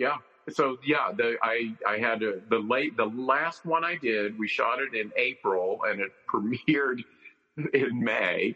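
Speaking at a fairly slow pace, a man uses a normal speaking voice. His pitch is medium, with ordinary pitch variation. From North Carolina. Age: 60s. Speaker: film director and author. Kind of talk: interview. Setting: video call.

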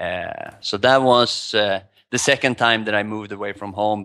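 A man speaks with a Swedish accent, his voice fairly low in pitch with a bright, sharp tone. His intonation stays flat and monotone. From Sweden. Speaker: poker player and life coach. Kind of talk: casual interview. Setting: video call from Thailand.

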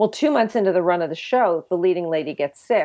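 A woman with an American accent has a plain, everyday voice, fairly low in pitch with ordinary pitch variation. The background is quiet. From New Jersey. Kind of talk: faith testimony interview.

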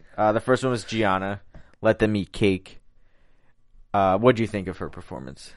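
Against a quiet background, a man in a Philadelphia accent speaks at a moderate pace with a fairly low pitch, ordinary pitch variation and long, frequent pauses. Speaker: after-show host. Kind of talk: casual chat recapping a TV show. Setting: studio.

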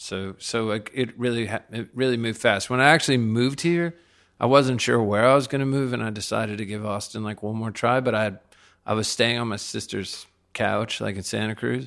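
A man with an American accent and a normal speaking voice, at a medium pitch and a fairly quick pace, with fairly even intonation and a quiet background. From Laredo, Texas (US–Mexico border). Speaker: rock musician. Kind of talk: casual interview chat. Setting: dining room at a private home.

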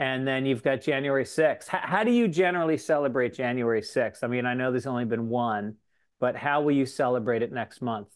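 In a normal speaking voice, a man with an American accent talks fairly quickly at a medium pitch. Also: ordinary pitch variation. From New York (Tarrytown). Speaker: comedian and podcast host. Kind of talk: casual chat.

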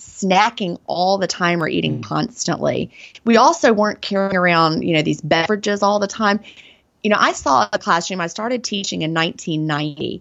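Speaking in a Southern US accent at a moderate pace, a woman uses lively intonation and a medium pitch with vocal fry. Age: 40s. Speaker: author and former teacher. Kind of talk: interview.

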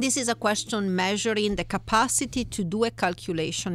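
A woman speaks with an Italian accent. The recording is very clean, with a silent background. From Italy. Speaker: economics professor. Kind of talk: interview. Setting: studio.

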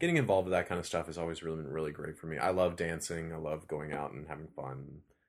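A very fast man's voice, very deep and low in pitch, with vocal fry, fairly even intonation and hardly any pauses. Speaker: TV series creator. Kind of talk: casual interview chat.

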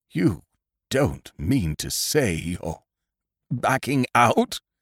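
Very wide pitch swings mark this man's speech around a medium pitch. He talks at a very slow pace. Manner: hurt, wounded.

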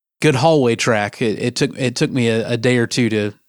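There is a very clean recording with a silent background. In it, a man's medium-pitched voice carries fairly even intonation. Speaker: podcast co-host, sysadmin. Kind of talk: casual tech discussion.

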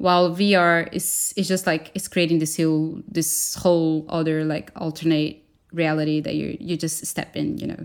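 In a Portuguese accent, the speech runs at a moderate pace with hardly any pauses and a monotone, flat intonation. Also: woman, very deep, low pitch for a woman. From Brazil. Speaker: animator and designer. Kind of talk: casual interview chat.

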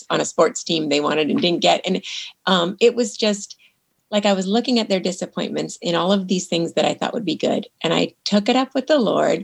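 In a normal speaking voice, a woman talks at a fairly quick pace with medium pitch and lively intonation. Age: 50s. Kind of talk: interview. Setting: remote call.

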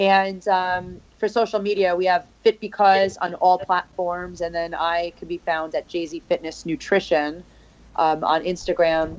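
A woman with a New York accent speaks at a fairly slow pace. Her voice is fairly low, with fairly even intonation. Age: 40s. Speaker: fitness coach and podcast host. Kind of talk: casual interview.

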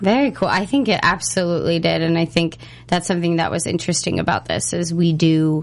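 Speaking fairly quickly, a woman uses an ordinary speaking voice with a fairly low pitch and ordinary pitch variation. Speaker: interviewer host. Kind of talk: casual interview. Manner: upbeat, chatty.

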